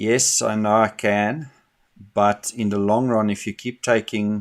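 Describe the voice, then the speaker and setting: A man's fairly low voice in a flat monotone, on a very clean recording with a silent background. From South Africa. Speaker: day trader streaming live trades. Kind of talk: live trading commentary. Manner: casual, with frequent fillers and repetitions.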